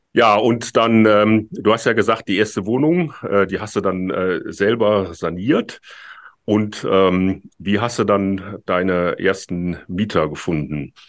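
A man speaks at a very slow pace in a fairly low pitch. His pitch variation is ordinary, and the background is quiet. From Rhineland, Germany. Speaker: podcast host, landlord. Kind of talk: casual chat. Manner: halting, many filler sounds.

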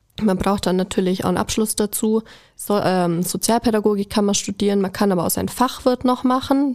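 A woman with an unremarkable speaking voice, fairly high in pitch, talks at a fairly quick pace with ordinary pitch variation. Her loudness stays very even, and the recording is very clean with a silent background. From Allgäu, Bavaria. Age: 20s. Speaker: kindergarten teacher. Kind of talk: casual interview.

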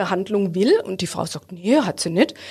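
Medium-pitched female voice, a normal speaking voice, with ordinary pitch variation. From Baden, Ortenau (Hofweier). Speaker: bank advisor. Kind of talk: podcast interview.

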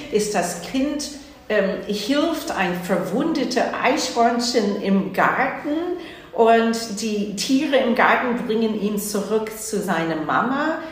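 This woman's voice sits fairly high and moves through very wide pitch swings. Room echo is audible, and there is noticeable background noise. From US Northeast, New Jersey. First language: English (speaking German). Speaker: opera house director. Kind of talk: interview.

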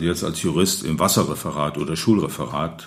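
Vocal fry from a man at a moderate pace, with ordinary pitch variation and audible room echo. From Rhineland, Neuwied-Irlich. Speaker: local historian and retired city lawyer. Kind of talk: interview. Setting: historic building, table with microphones.

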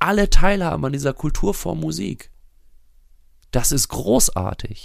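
A man's lively intonation, marked by vocal fry. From Germany, near Bielefeld (East Westphalia). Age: 40s. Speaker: musician. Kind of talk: casual chat.

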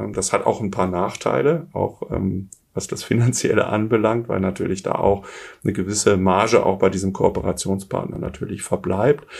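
Against noticeable background noise, a man talks at a moderate pace, his pitch fairly low with ordinary variation. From Germany, Essen (Ruhr area). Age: 50s. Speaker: business coach, former executive. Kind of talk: interview.

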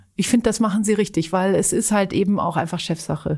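A woman talks at medium pitch with fairly even intonation and a somewhat breathy sound. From Switzerland (Zurich), German-speaking family. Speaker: charity executive. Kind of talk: podcast interview.

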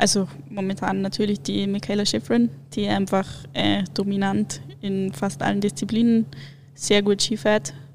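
A woman with a medium pitch and a somewhat breathy voice speaks at a fairly slow pace, leaving long, frequent pauses. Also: lively intonation. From Munich, Bavaria. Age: 20s. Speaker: alpine ski racer. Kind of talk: casual interview.

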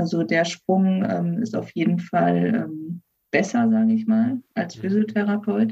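In a somewhat breathy, dark and mellow voice of medium pitch, a woman speaks very slowly with ordinary pitch variation. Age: 20s. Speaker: physician assistant. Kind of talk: interview. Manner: hesitant, many fillers.

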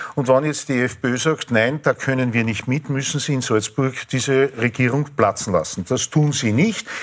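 At a moderate pace and with hardly any pauses, a man speaks at a medium pitch with ordinary pitch variation. Noticeable background noise is present. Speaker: physicist. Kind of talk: panel discussion.

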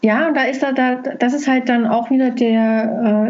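The voice moves at a fairly slow pace with fairly even intonation, amid audible room echo and noticeable background noise. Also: woman. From Saxony, Dresden. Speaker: film festival coordinator. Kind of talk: interview. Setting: video call. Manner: halting. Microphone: laptop.

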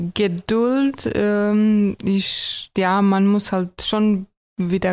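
A woman's intonation stays fairly even, and the recording is very clean with a silent background. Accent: Croatian. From Croatia. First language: Croatian (speaking German). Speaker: tram driver. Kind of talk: casual interview. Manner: hesitant with many fillers.

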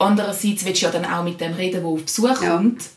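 The speech moves at a fairly quick pace with fairly even intonation. Audible room echo is present. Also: woman. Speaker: secondary school teacher. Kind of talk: casual chat.

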